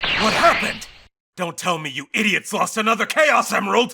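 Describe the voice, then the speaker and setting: A man puts on a character voice. It sits high in pitch. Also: moderate pace. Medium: dub. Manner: impatient, angry.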